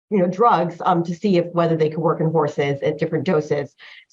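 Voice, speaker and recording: Fairly low in pitch, a woman with a plain, everyday voice and an American accent speaks with fairly even intonation. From US Northeast, New Jersey. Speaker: patent lawyer. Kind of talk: interview. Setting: podcast. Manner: casual, many fillers.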